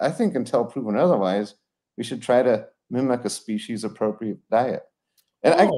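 With an American accent, a man speaks at a moderate pace and medium pitch in a dark, mellow tone over a quiet background. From Colorado. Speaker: retired veterinarian; guest. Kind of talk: interview. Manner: casual, many fillers. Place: home room. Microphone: video call.

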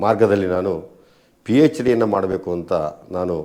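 A man speaks in a dark, mellow tone at a fairly low pitch, with a quiet background behind him. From Karnataka, Chamarajanagar district village; Karnataka. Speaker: writer and education official; interviewee. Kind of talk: interview. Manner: formal. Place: home room. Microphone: lapel.

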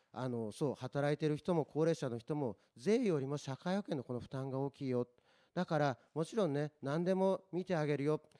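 Against a quiet background, a man speaks at a fairly high pitch in a dark, mellow tone. His pitch varies in an ordinary way and his pace is moderate. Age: 40s. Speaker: local election candidate; election candidate. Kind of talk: political debate. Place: meeting room. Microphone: handheld.

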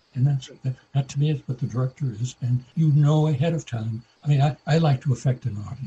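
Somewhat breathy and dark, mellow in tone, a man with an American accent talks with fairly even intonation. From Iowa, USA. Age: 90s. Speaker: television director. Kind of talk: interview answer.

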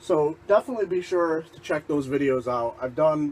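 Light background noise is present. A man speaks at a moderate pace. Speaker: vlogger. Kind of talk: casual vlog chat. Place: home room. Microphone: camera far.

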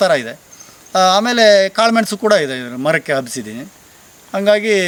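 Noticeable background noise runs under this recording. A man speaks with a high pitch. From Sagara taluk, Shivamogga district, Karnataka (Malnad). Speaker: farmer. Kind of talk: interview.

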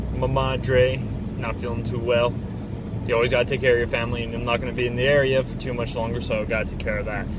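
A man at a very fast pace, dry sound with no echo, and loud background noise behind him. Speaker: vlogger driving. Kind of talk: casual vlog chat. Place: car. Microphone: phone near.

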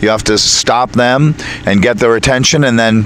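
Speaking at a moderate pace with fairly even intonation, a man sounds dry with no echo over light background noise. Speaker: circus ringmaster. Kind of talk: interview answer. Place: open country. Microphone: handheld.

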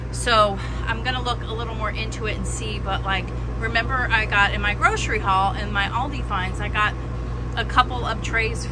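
A woman speaks at a moderate pace. Noticeable background noise runs underneath. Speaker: home cooking vlogger. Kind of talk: casual vlog chat. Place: kitchen. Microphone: phone near.

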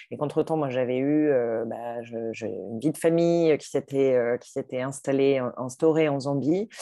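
Against a quiet background, a woman with a very deep, low pitch speaks at a fairly slow pace with ordinary pitch variation. Her loudness swings widely, and the sound is dry with no echo. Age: 40s. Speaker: entrepreneur and life coach. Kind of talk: interview testimony. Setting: video call. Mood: reflective, warm. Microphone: video call.

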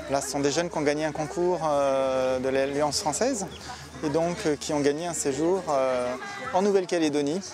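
Noticeable background noise sits behind a man speaking at a moderate pace. The sound is dry, with no echo. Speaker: host family member. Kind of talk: casual explanation. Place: open country.

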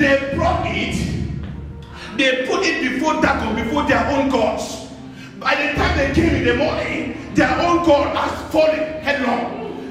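The speech is at a fairly slow pace with strong room echo and clear music in the background. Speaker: preacher. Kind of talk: sermon. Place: church. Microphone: camera far.

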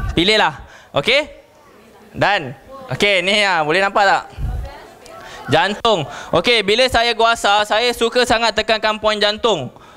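A high-pitched man's raised, projected voice over crowd noise, fairly slow with long, frequent pauses, lively intonation and very even loudness. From Malaysia. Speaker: network marketing distributor; presenter. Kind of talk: sales presentation. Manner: animated. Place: hall.

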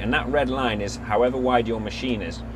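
Here a man talks at a fairly quick pace. Noticeable background noise runs underneath. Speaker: product demonstrator. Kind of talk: tutorial. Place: farm machine.

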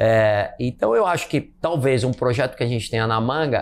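This man has a normal speaking voice, talking at a moderate pace and medium pitch with ordinary pitch variation. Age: 50s. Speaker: marathon runner and businessman; interview guest. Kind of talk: casual chat. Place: home room. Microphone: lapel.

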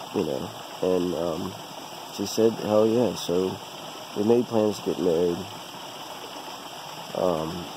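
A man speaks at a fairly slow pace. The sound is dry with no echo, though noticeable background noise is present. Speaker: vlogger telling life story. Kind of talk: casual vlog chat. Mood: relaxed, personal storytelling. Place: forest. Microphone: phone near.

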